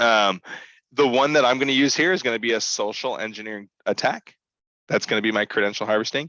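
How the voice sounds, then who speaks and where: This man talks at a very fast pace with a bright, sharp tone, a medium pitch and ordinary pitch variation. The sound is dry and close with no echo, and the background is quiet. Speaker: cybersecurity workshop instructor. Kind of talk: live online tutorial. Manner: hesitant, many fillers.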